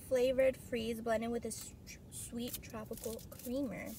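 Light background noise sits behind a woman's voice with ordinary pitch variation. The sound is dry with no echo. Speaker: food vlogger. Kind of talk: casual vlog chat. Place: car. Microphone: phone near.

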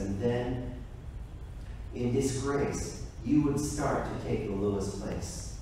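A man speaks at a very slow pace. Strong room echo surrounds him, with light background noise. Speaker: pastor. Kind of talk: scripture reading. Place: church.

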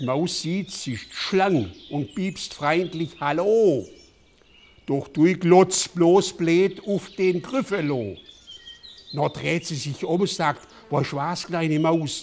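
A man with a high pitch speaks at a very slow pace. His pitch varies in an ordinary way. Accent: Swabian. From Southwestern Germany. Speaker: politician. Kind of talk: children's story reading. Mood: calm, playful storytelling. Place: home room. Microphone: lapel.

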